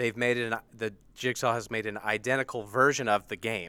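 A man with an American accent talks at a moderate pace and a medium pitch. His tone is bright and sharp, on a very clean recording with a silent background. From United States. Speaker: video writer guest. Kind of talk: casual chat.

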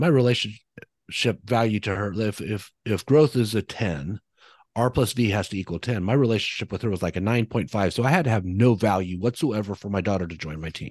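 A man talks at a fairly quick pace in a plain, everyday voice, fairly low in pitch with ordinary variation. The sound is dry and close with no echo, and the background is quiet. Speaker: real estate leadership coach. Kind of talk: casual chat. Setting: video call.

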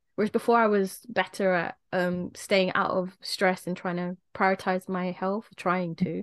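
Set against a quiet background, the speaker uses a British accent at a fairly slow pace with monotone, flat intonation, and the sound is dry and close with no echo. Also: woman, medium pitch for a woman. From England. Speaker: podcast co-host. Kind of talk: casual chat.

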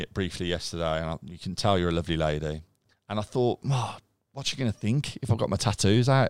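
In a Birmingham accent, a man speaks very fast with an animated, enthusiastic tone and lively intonation, the sound dry and close with no echo on a very clean recording with a silent background. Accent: Birmingham (Brummie). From Birmingham, England (Castle Bromwich / Chelmsley Wood). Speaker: digital marketing agency director and charity co-founder. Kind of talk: casual interview chat.

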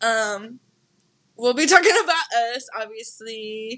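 A woman speaks in a high voice with a bright, sharp tone and lively intonation. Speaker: podcast co-host. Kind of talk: casual chat. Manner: halting.

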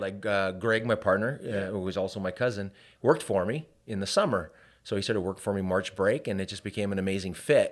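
A man with a Canadian accent and an unremarkable speaking voice talks at a fairly quick pace in a fairly low pitch. The recording is very clean, with a silent background. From Canada, Hamilton, Ontario. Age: 40s. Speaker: business owner. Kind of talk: casual chat.

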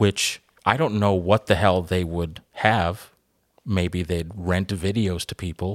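A man's very deep, low voice at a very slow pace with fairly even intonation, on a very clean recording with a silent background. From Cuban heritage. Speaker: podcast host. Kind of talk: casual chat.

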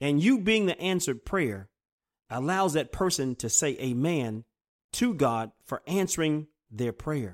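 Speaking at a fairly slow pace, a man uses a fairly high pitch with very wide pitch swings. The recording is very clean with a silent background, and the sound is dry and close with no echo. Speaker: preacher. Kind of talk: sermon; fervent prayer. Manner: earnest, reverent prayer tone; formal.

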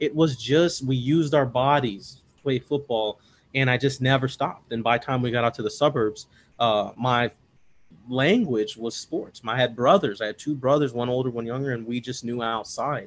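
Speaking at a moderate pace, a man has a medium pitch. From Chicago, US Midwest. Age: 30s. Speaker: bodybuilding and powerlifting coach. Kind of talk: casual interview. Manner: animated.

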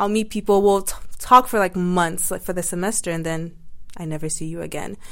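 In a normal speaking voice, someone talks at a fairly quick pace with ordinary pitch variation and big swings in loudness. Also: woman. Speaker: university student. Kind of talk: casual chat.

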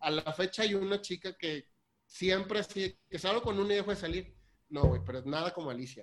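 This man has a high pitch and ordinary pitch variation. He talks at a fairly quick pace. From Mexico, Tampico. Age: 30s. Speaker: lawyer working in ship maintenance. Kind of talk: casual chat.

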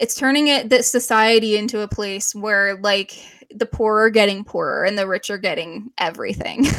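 With a Canadian accent, a woman uses an ordinary speaking voice at a fairly high pitch, speaking at a moderate pace with ordinary pitch variation. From Canada. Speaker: podcast co-host. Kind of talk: casual chat.

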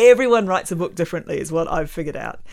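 In a New Zealand accent, a woman speaks at fairly low pitch on a very clean recording with a silent background. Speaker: environmental scientist and author. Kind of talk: casual interview chat. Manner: hesitant with frequent fillers.

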